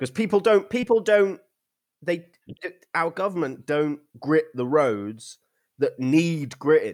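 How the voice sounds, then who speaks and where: Speaking with an English accent, a man uses a high pitch, an animated tone and lively intonation. He talks at a fairly slow pace with long, frequent pauses, in a very clean recording with a silent background. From England. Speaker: podcast host. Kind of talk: casual chat.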